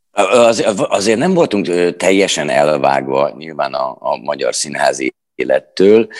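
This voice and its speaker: At a very slow pace, a man talks with hardly any pauses. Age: 40s. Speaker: stage actor and theatre director. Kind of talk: interview. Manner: halting.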